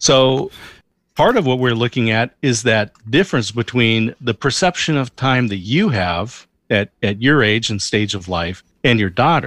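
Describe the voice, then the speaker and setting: In a very clean recording with a silent background and a dry, close sound with no echo, a man with an unremarkable speaking voice speaks fairly slowly at a medium pitch. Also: ordinary pitch variation. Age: 50s. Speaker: podcast guest. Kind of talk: interview.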